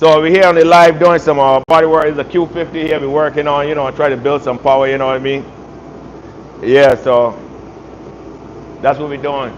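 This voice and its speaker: A Barbadian accent at a fairly quick pace, broken by long, frequent pauses, over noticeable background noise. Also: man, fairly high pitch for a man. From Barbados. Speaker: auto body repair youtuber. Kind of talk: live stream tutorial and casual chat. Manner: animated.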